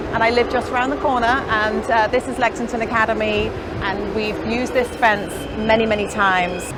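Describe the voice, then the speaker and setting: A woman talks at a fairly quick pace. The recording has audible room echo and noticeable background noise. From northern England, Liverpool. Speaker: fibre artist. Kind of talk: casual chat. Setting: outdoors.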